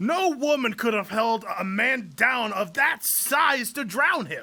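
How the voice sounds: A man puts on a character voice at an extremely high pitch, with big pitch swings. He goes at a slow pace, and his tone is bright and sharp.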